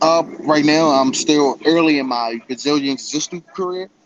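A man at a moderate pace with fairly even intonation, over noticeable background noise. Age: 20s. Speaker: amateur MMA fighter. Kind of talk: interview.

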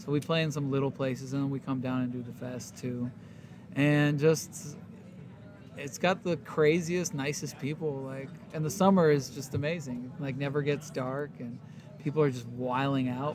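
A man with a fairly high pitch speaks in a relaxed, somewhat breathy tone. His pace is moderate and his intonation fairly even. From Warsaw, Poland. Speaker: touring band musician. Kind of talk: backstage interview chat, casual. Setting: backstage. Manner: relaxed, laid-back, laughing.

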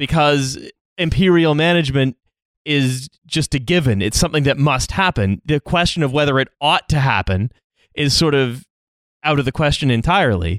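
A man with a Canadian accent speaks in a normal speaking voice at a moderate pace, fairly high-pitched for a man, with ordinary pitch variation, very even loudness, and a dry, close sound with no echo. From Canada. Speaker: podcast co-host. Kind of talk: casual chat.

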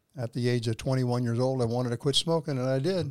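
With a Texan accent, a man speaks at a medium pitch. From Texas. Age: 80s+. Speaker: guest, husband of the host. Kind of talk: casual interview conversation. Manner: joking, humorous.

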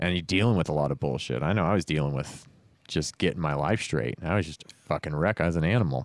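Very deep and low, a man's voice with vocal fry races at a very fast pace in a very clean recording with a silent background. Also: ordinary pitch variation. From California, Stockton. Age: 30s. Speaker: podcast host and musician. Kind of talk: casual chat.

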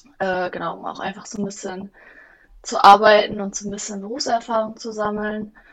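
The delivery is monotone, with flat intonation and a moderate pace. Loudness swings widely from moment to moment. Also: woman, medium pitch for a woman. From Germany, Bielefeld. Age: 20s. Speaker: office management apprentice. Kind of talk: interview.

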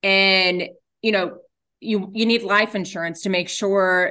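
A woman speaks in a bright, sharp tone with fairly even intonation and an American accent. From Texas, Dallas area. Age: 40s. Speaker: insurance agent. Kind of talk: casual interview.

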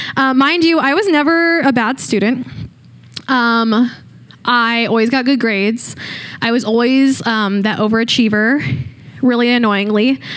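A woman's high-pitched voice with ordinary pitch variation and very even loudness, over noticeable background noise. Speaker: student leader preacher. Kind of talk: sermon. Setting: church.

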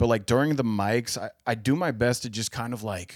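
In an ordinary speaking voice with an American accent, a man talks at a moderate pace and medium pitch with ordinary pitch variation, captured in a dry, close sound with no echo. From Cincinnati, Ohio. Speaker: stand-up comedian. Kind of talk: casual chat.

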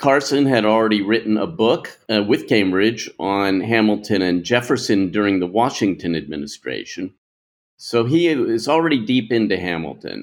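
Using an ordinary speaking voice, a man talks at a fairly low pitch and a moderate pace with lively intonation. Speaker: political scholar. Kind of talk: interview.

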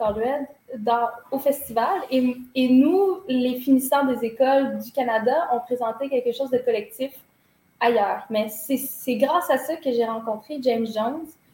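With a Quebec accent, a woman talks in a high voice and fairly even intonation. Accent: Québécois French. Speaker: dancer and choreographer. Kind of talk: interview. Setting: office.

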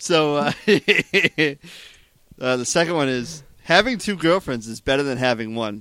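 In a dry, close sound with no echo, a man with a normal speaking voice talks at a fairly slow pace, fairly high in pitch with lively intonation. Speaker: podcast host. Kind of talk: casual comedic chat.

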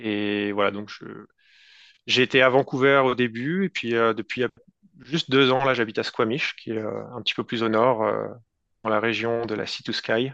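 Pausing long and often, a man speaks at a fairly slow pace with a medium pitch and fairly even intonation. The background is quiet. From France. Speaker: tech entrepreneur. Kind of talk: interview. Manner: halting.

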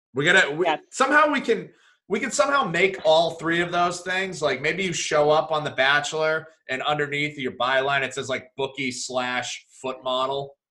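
A plain, everyday voice from a man, fairly high in pitch, at a moderate pace with ordinary pitch variation. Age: 30s. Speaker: podcast co-host. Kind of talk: casual chat.

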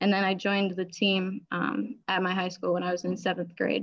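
This woman uses an ordinary speaking voice at a medium pitch. Her intonation stays fairly even. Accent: American. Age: 20s. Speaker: powerlifter. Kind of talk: interview.

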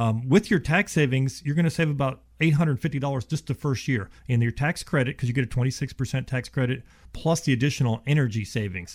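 At a very fast pace with hardly any pauses, a man with an American accent speaks at medium pitch with ordinary pitch variation and a somewhat breathy sound, on a very clean recording with a silent background. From Ohio, then Houston from age twelve. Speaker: insulation contractor. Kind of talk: radio talk show interview. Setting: radio studio.

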